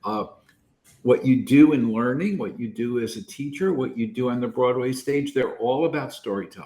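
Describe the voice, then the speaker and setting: A somewhat breathy man with a fairly high pitch and very wide pitch swings. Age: 70s. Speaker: learning researcher and Broadway producer. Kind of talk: podcast interview. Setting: podcast.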